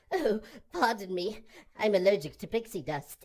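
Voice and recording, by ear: A cartoonish character voice, female-sounding, at a medium pitch for a woman. It moves at a moderate pace.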